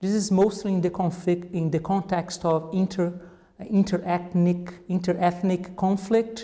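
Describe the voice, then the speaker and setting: A man with a Portuguese accent talks in a high voice with monotone, flat intonation. There is noticeable background noise. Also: fairly slow pace. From Brazil. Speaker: cognitive anthropologist. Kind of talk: interview. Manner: halting, with many fillers and repetitions.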